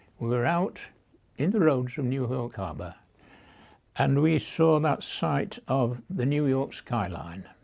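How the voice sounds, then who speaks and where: Speaking with a British accent at a fairly slow pace, this voice takes long, frequent pauses and very wide pitch swings. The recording is very clean, with a silent background. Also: man, medium pitch for a man. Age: 90s. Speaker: war veteran. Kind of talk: oral history interview. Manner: halting.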